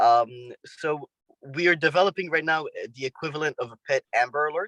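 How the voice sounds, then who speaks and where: Bright and sharp in tone, a man with a French accent talks at a fairly quick pace and fairly high pitch, his pitch varying in an ordinary way, in a dry, close recording with no echo. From France. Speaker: world traveler, finance entrepreneur. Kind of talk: interview. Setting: video call from a Land Rover. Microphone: spotty connection.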